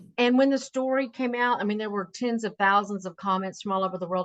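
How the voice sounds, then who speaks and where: At a fairly quick pace, a woman with an ordinary speaking voice talks at medium pitch with ordinary pitch variation. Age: 60s. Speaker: singer and cigar designer. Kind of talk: interview testimony.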